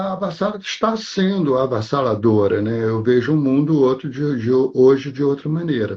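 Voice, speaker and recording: At a moderate pace, a man speaks in a fairly high, somewhat breathy voice with very wide pitch swings. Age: 70s. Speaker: actor. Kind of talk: interview.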